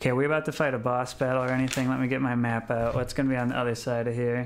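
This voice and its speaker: Very fast speech comes from a man. His intonation is monotone and flat. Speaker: game streamer. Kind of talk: casual stream commentary. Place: home room. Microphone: studio mic.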